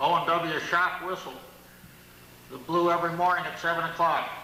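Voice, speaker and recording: Over noticeable background noise and audible room echo, a man with a high pitch and an American accent talks at a fairly quick pace. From US Northeast, Middletown, New York. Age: 70s. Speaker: local historian. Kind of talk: lecture.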